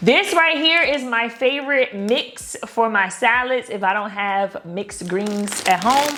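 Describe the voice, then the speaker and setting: With noticeable background noise, a woman speaks at a fairly slow pace and a fairly high pitch, her tone animated and her intonation lively, with hardly any pauses. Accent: American. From Baltimore, Maryland. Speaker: lifestyle vlogger. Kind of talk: casual vlog, grocery haul.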